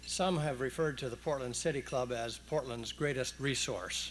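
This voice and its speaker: Speaking at a moderate pace, a man's voice carries audible room echo. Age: 60s. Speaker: retired judge. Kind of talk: public speech. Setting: stage with audience, broadcast on radio. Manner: formal.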